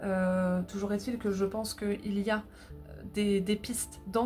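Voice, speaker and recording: Delivered at a moderate pace, the monotone, flat intonation sits over music in the background. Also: woman. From northern France. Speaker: tarot reader. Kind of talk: tarot reading. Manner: halting, many filler sounds.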